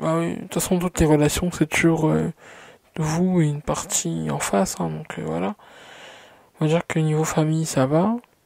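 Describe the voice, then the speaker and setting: The speech moves at a moderate pace, broken by long, frequent pauses, in a dry, close sound with no echo. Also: woman. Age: 20s. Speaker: vlogger. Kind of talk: personal vlog monologue. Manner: hesitant, many fillers.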